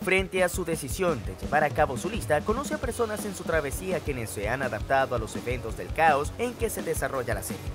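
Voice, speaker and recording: Over music in the background, a man with a fairly high voice talks at a fairly quick pace with hardly any pauses and very wide pitch swings. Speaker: anime channel narrator. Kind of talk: anime review narration.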